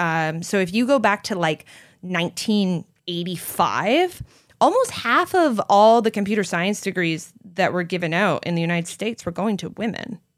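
On a very clean recording with a silent background, a woman with a Canadian accent and a plain, everyday voice speaks at a moderate pace and medium pitch with ordinary pitch variation. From Canada. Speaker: vegan entrepreneur and author. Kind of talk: interview conversation. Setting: in-person recording.

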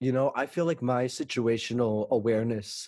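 Here a man with an ordinary speaking voice talks at a moderate pace and medium pitch. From Texas (Fort Worth). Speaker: musical theater actor and singer. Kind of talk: casual interview chat.

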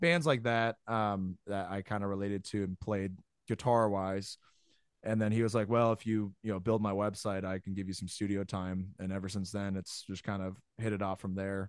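On a very clean recording with a silent background, a man with an ordinary speaking voice talks fairly low and at a moderate pace, keeping his intonation fairly even. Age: 20s. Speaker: metal band guitarist and songwriter. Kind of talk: casual interview chat.

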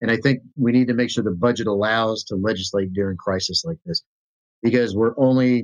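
A man's normal speaking voice at a medium pitch, with ordinary pitch variation and a fairly quick pace. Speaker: state senate candidate and military veteran. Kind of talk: interview.

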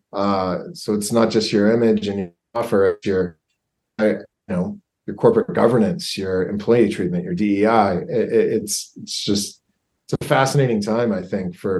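This is a man with a normal speaking voice. His pitch is fairly low, with ordinary pitch variation. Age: 40s. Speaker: brand and digital product consultant. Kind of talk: casual interview.

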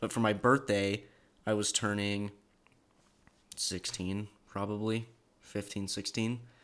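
The delivery is very slow, with long, frequent pauses. Intonation stays monotone and flat. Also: man, fairly low pitch for a man. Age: young. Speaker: podcast host's younger brother. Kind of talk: casual chat.

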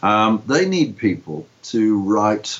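There is noticeable background noise. Through it, a man speaks with lively intonation. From Liverpool, England. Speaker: comic writer. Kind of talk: interview.

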